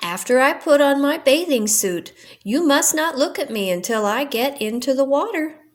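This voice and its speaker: This is a put-on character voice that sounds female. It is pitched high. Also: moderate pace. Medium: read story.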